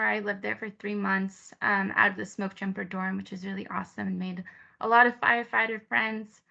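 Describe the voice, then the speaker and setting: A woman with a Spanish accent, medium pitch, bright, sharp tone, fairly even intonation, big swings in loudness and a fairly quick pace over a quiet background. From Peru, raised mostly in California. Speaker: resource assistant, program assistant. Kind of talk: presentation of own experience.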